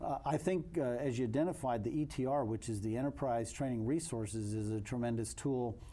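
Speaking at a moderate pace, a man has a medium pitch, ordinary pitch variation and a dark, mellow tone. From US, army brat (Colorado-born, moved around). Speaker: army veteran, government client services director. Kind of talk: interview conversation.

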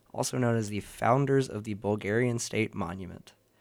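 With ordinary pitch variation, a man talks at a medium pitch in a plain, everyday voice. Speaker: guest poet and radio host. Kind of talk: casual chat.

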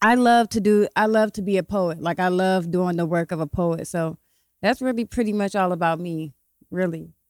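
In an American accent, a woman with a normal speaking voice talks at a moderate pace and medium pitch, with ordinary pitch variation and a dry, close sound with no echo. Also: very clean recording, silent background. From Ohio, Columbus and Cleveland. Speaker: poet and author. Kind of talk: casual chat.

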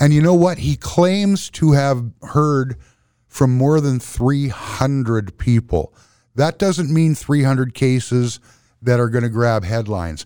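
Recorded very cleanly against a silent background, a man speaks at a fairly slow pace in a medium pitch with a dark, mellow tone and lively intonation. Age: 60s. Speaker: podcast co-host. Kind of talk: casual chat.

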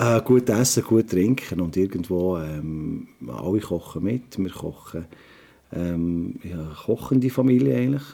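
Here a man with a Swiss accent has a very deep, low pitch and a dark, mellow tone. He talks at a very slow pace with lively intonation. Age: 50s. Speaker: restaurateur and trained chef. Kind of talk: interview. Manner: halting, many filler sounds.

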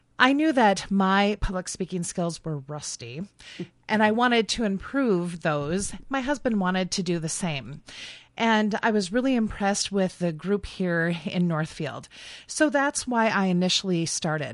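Over a quiet background, an ordinary speaking voice moves at a fairly slow pace with lively intonation. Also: woman, medium pitch for a woman. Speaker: public speaking club member and leader. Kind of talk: radio interview. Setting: radio studio.

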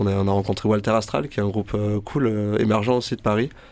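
The male speaker rushes along very fast, his somewhat deep pitch holding mostly level intonation. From Marseille. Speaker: musician. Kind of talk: radio interview.

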